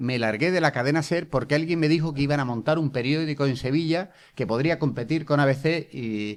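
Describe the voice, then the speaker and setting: On a very clean recording with a silent background, a man speaks at a fairly quick pace with lively intonation and a fairly high pitch. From Seville, Spain. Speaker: journalist and former government spokesman. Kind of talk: interview. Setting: school venue with students. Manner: animated.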